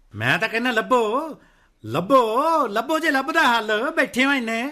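A man in a put-on character voice, extremely high-pitched, bright and sharp, with big pitch swings at a moderate pace.

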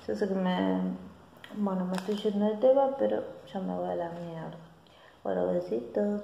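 A woman's moderate-paced speech with long, frequent pauses, amid light background noise and audible room echo. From Argentina. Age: 40s. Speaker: beauty vlogger. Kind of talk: casual vlog monologue. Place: home room. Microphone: phone near.

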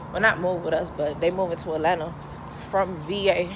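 Noticeable background noise sits behind a woman whose fairly low voice keeps a fairly even intonation. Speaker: vlogger. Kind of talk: casual vlog chat. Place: street. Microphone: phone near.

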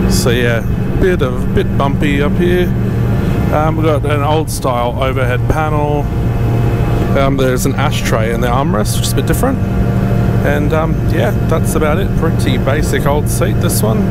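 Against music in the background, a man speaks at a moderate pace with long, frequent pauses in a dry sound with no echo. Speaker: travel vlogger. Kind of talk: casual vlog chat. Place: plane. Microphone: handheld.

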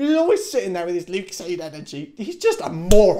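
The background is quiet. A man speaks very fast, his intonation lively. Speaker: university student vlogger. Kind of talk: casual vlog chat. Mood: annoyed, ranting. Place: home room. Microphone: camera far.

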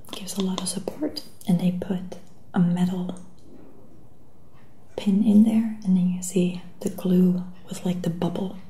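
A soft-spoken woman talks at a fairly slow pace with long, frequent pauses. Light background noise sits behind her. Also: fairly even intonation. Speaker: shoe seller. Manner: soft-spoken close ASMR voice. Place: home room. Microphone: webcam.

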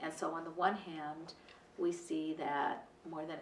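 A woman speaks at a moderate pace with a very deep, low pitch and monotone, flat intonation. There is audible room echo and light background noise. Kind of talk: interview answer. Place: office.

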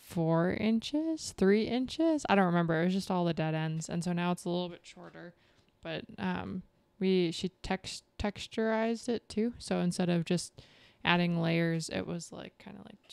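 A woman with a fairly low voice speaks at a moderate pace with ordinary pitch variation and big swings in loudness, against a quiet background and a dry sound with no echo. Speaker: podcast co-host. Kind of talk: casual podcast chat. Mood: relaxed, cheerful. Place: home room. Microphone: studio mic.

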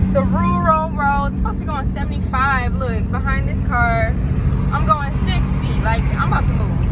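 Loud background noise runs under a dry sound with no echo as the speech moves at a moderate pace. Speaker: vlogger. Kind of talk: casual vlog chat. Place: car. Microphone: phone near.

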